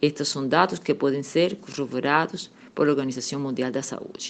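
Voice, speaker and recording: Against a quiet background, a woman speaks with a Cuban accent. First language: Spanish (speaking Portuguese). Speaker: political scientist. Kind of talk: radio interview.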